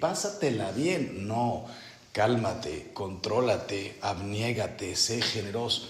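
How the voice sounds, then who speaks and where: A man talks very slowly at a medium pitch. Audible room echo and noticeable background noise surround his voice. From Mexico. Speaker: priest leading a spiritual retreat. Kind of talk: retreat meditation talk. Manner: slow, deliberate.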